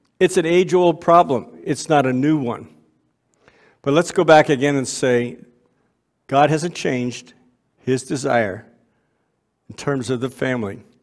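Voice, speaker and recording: The delivery runs at a fairly slow pace with long, frequent pauses and ordinary pitch variation. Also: man, fairly high pitch for a man. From Canada (Waterloo, Ontario). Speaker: ministry speaker. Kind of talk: sermon. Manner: halting.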